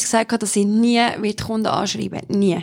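The speaker has a Solothurn accent. The pace is moderate. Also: woman. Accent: Swiss German (Solothurn). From Switzerland, Solothurn. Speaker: model and presenter. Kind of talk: casual interview.

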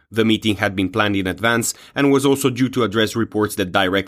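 Using a normal speaking voice, a fairly low-pitched man talks at a fairly quick pace with ordinary pitch variation, in a very clean recording with a silent background. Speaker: news presenter. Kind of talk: news reading. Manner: formal; steady, measured delivery.

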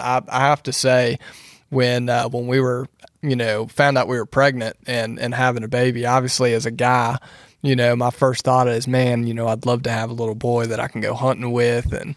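A man speaks at medium pitch and a moderate pace, with little pitch movement.

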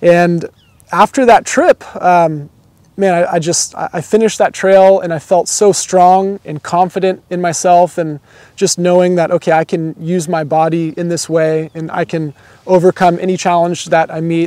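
In a Californian accent, a man talks at a moderate pace with a high pitch, a dark, mellow tone and fairly even intonation. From Southern California. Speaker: business executive and hiker. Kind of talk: interview. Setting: outdoors.

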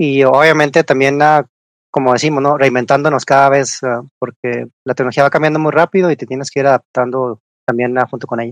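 At a fairly quick pace, a man with a normal speaking voice talks at a fairly high pitch with fairly even intonation, in a dry, close sound with no echo. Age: middle-aged. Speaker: engineering research manager. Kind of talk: interview.

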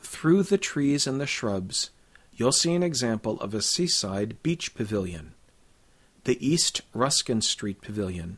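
With a medium pitch and very wide pitch swings, a man talks at a fairly slow pace. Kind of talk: scripted audio walking-tour narration, directing listeners street by street. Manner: clear, measured, formal, guide-like and informative.

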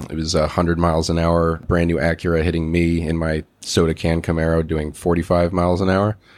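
The speaker uses monotone, flat intonation at a fairly quick pace, in an American accent. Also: man. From US, Maryland. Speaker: entrepreneur. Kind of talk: interview.

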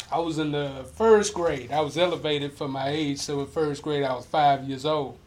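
Here a man uses a normal speaking voice with an American accent, pitched fairly high. He keeps a moderate pace and fairly even intonation, with hardly any pauses. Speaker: podcast host. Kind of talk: casual interview chat. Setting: in-person studio.

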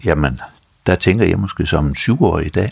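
Very wide pitch swings paired with vocal fry. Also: man. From North Jutland, Denmark. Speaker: retired dentist, prostate cancer patient. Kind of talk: interview.

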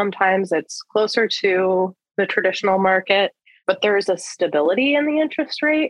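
A woman with an American accent, a normal speaking voice at a medium pitch, lively intonation and a fairly quick pace. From rural US. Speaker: lending executive at a social finance firm. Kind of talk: interview.

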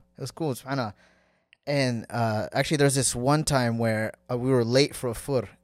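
Speaking with an American accent at a moderate pace, the voice keeps a fairly even intonation on a very clean recording with a silent background. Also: man, medium pitch for a man. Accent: American, noticed in Somalia when speaking. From US West Coast, San Diego, California. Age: 20s. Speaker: Somali-American traveller, podcast guest. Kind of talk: casual chat.

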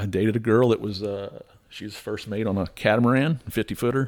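In a normal speaking voice with an American accent and ordinary pitch variation, the speaker comes through on a very clean recording with a silent background. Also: man. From South Florida, Tampa area. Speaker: adventurer and business founder. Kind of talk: casual chat.

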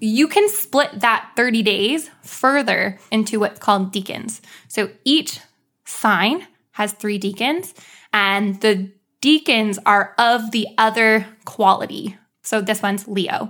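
A woman with a fairly high pitch speaks at a very slow pace. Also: ordinary pitch variation. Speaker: podcast co-host. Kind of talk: casual banter podcast chat. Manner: uptalk, rising question-like cadence.

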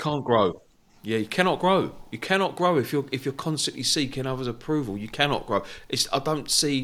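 A man talks at a fairly quick pace with lively intonation. His is a normal speaking voice. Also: medium pitch for a man. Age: 40s. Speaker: podcast host. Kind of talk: casual interview chat. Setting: video call.

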